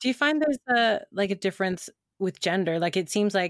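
The recording is very clean, with a silent background and a dry, close sound with no echo. A woman speaks at a moderate pace. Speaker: podcast co-host and performer. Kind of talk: casual chat. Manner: high energy.

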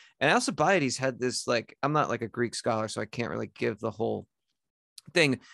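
In an American accent, the voice moves at a fairly quick pace with a bright, sharp tone, vocal fry and ordinary pitch variation, the sound dry and close with no echo over a quiet background. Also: man, medium pitch for a man. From US Northeast. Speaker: writer and podcaster. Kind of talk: casual chat.

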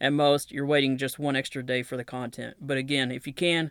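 On a very clean recording with a silent background, a man with a Southern accent speaks fairly quickly at a medium pitch in a monotone, flat intonation. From US South, Knoxville, Tennessee. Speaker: podcast host, military veteran and author. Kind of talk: solo podcast monologue with news reading.

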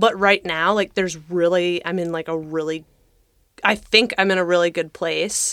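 In an ordinary speaking voice, a woman with a fairly low pitch talks at a moderate pace with fairly even intonation. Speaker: podcast co-host. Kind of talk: casual chat.

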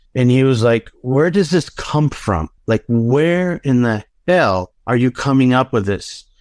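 Recorded very cleanly against a silent background, a man with a plain, everyday voice speaks at a fairly slow pace, his medium pitch carried by lively intonation. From Southern California (North Hollywood), Mexican-American family. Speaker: fashion designer. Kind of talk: casual interview chat.

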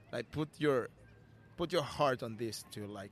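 In a Peruvian accent, a man speaks at a medium pitch. His pace is fairly slow, with ordinary pitch variation. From Peru, Lima (Callao). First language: Spanish. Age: 30s. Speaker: street musician. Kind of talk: casual interview. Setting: outdoors in city square. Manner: halting.

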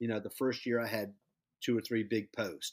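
Against a silent background on a very clean recording, a man with an ordinary speaking voice talks at a medium pitch and a fairly quick pace. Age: 40s. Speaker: high school basketball coach. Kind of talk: interview.

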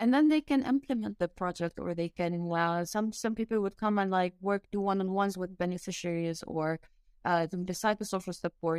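Using an Arabic accent, a woman speaks at a fairly quick pace and a medium pitch with ordinary pitch variation. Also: dry, close sound with no echo. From Lebanon, raised in the UAE. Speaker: mountaineer and NGO founder. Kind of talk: interview. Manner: halting.

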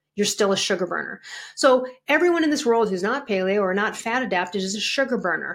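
Talking at a very fast pace with lively intonation, a woman with a fairly high pitch comes through on a very clean recording with a silent background. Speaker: health coach and author. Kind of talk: interview. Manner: fast talker.

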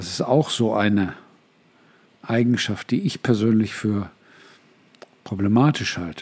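Speaking fairly slowly with long, frequent pauses, a man uses a fairly low voice with ordinary pitch variation. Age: 60s. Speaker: podcast host and life coach. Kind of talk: solo podcast monologue.

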